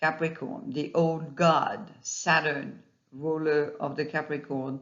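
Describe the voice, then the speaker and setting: With a non-native accent, the speaker goes at a very slow pace. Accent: non-native accent, self-noted. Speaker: astrologer. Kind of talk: monologue video talk. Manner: halting, with fillers.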